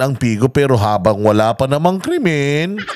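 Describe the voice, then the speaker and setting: Amid noticeable background noise, a man with a fairly high pitch speaks at a fairly slow pace, his pitch swinging very widely. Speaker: political commentary vlogger. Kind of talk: casual news reaction vlog. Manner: animated.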